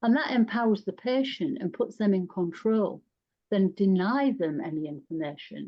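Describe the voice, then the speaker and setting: Speaking at a moderate pace, a woman with a northern English accent uses a medium pitch and lively intonation. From northern England. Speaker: psychosexual nurse specialist. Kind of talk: panel discussion.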